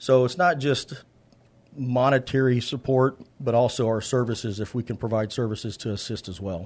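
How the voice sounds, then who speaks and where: Against a quiet background, a man with an American accent talks in a normal speaking voice at a moderate pace and medium pitch. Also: ordinary pitch variation. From San Antonio, Texas. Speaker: charity founder and contractor. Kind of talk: casual interview chat.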